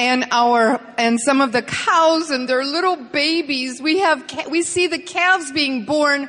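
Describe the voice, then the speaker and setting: A raised, projected voice with ordinary pitch variation comes through noticeable background noise. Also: woman. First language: English (speaking Spanish). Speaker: business motivational speaker. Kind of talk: presentation with interpreter. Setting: stage with audience.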